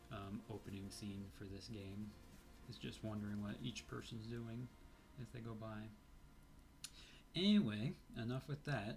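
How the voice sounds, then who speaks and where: A somewhat breathy man's voice, fairly low in pitch, with long, frequent pauses. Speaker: indie game developer. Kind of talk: let's play commentary. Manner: hesitant, many fillers.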